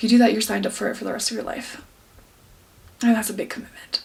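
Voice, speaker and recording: There is noticeable background noise. Over it, a woman speaks at a very fast pace. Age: 20s. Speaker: fitness vlogger, bikini competitor. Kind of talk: vlog. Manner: halting.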